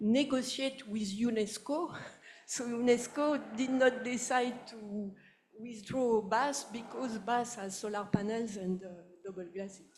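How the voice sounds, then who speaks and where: A woman with a French accent speaks at a fairly high pitch and a fairly slow pace. Her pitch variation is ordinary, while her loudness swings widely. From France, Paris. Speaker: audience member. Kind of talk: audience question. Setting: public talk with audience.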